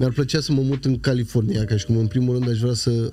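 The delivery is fairly quick and monotone, with flat intonation. Noticeable background noise runs underneath. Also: man. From Craiova, Romania. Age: 30s. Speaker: rapper. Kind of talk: casual chat.

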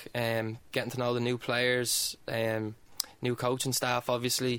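A man with an Irish accent speaks at a moderate pace in a medium pitch, his intonation monotone and flat. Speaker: footballer. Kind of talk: casual chat.

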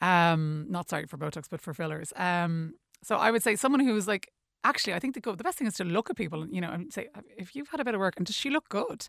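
In an Irish accent, a woman talks very fast at a medium pitch, with very wide swings in it. The recording is very clean with a silent background, the sound dry and close with no echo. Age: 40s. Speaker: beauty event co-founder. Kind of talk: radio interview. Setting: studio. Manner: hesitant, many fillers.

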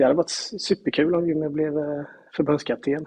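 This man's voice sits fairly high in pitch yet carries a dark, mellow tone. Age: 40s. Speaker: salesman and amateur football club founder. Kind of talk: casual interview.

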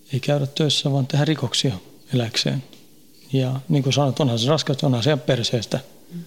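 A man with a fairly high pitch talks at a moderate pace, his loudness very even, leaving long, frequent pauses. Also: fairly even intonation. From Sweden, Stockholm suburb. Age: 40s. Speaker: prison inmate. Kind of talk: interview.

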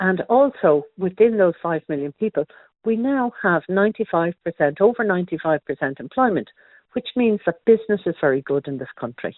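A woman talks at a moderate pace in an Irish accent. Her medium-pitched voice swings very widely in pitch. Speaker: travel writer. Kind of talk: radio interview. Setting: phone call.

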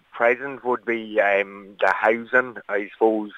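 A man speaks with a northwest Irish accent. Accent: rural northwest Irish. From Ireland, County Leitrim. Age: 20s. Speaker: local election candidate. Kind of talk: radio news interview.

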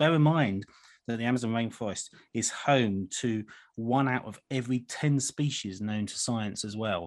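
Over a quiet background, a man speaks at medium pitch with a British accent. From UK. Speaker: wildlife charity chief executive. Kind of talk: radio interview. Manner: hesitant, many fillers.

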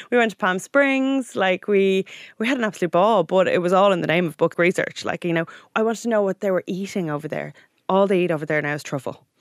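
In a very clean recording with a silent background and a dry, close sound free of echo, a woman of medium pitch talks very fast with ordinary pitch variation. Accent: Irish. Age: 30s. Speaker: magazine editor. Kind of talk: casual chat. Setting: studio.

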